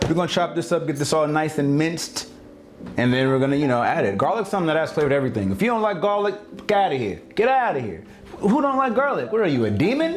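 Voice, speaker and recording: A man's fairly high voice at a very fast pace with very wide pitch swings, plus audible room echo and noticeable background noise. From California. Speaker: home cooking video host. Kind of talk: cooking tutorial. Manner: animated, playful.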